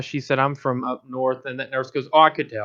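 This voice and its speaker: A man speaks with a Southern accent. His pace is fairly quick. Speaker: podcast host. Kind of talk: casual chat.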